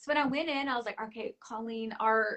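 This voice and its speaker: Fairly high in pitch, this woman has an ordinary speaking voice with ordinary pitch variation. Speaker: voice actress. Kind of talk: interview. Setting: livestream. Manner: casual with many fillers.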